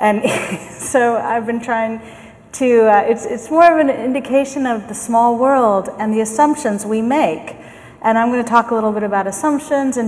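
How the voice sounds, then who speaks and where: Over noticeable background noise and audible room echo, a woman talks at a very slow pace with a fairly high pitch and fairly even intonation. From US, San Francisco. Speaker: management consultant and keynote speaker. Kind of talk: keynote talk. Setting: conference stage with microphone.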